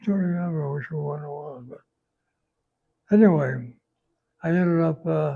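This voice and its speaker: In an American accent, a man with a fairly high pitch and a dark, mellow, somewhat breathy tone talks at a moderate pace, with ordinary pitch variation, big swings in loudness, and long, frequent pauses. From Chicago. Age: 80s+. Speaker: Korean War veteran, former cryptographer. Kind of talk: interview answer.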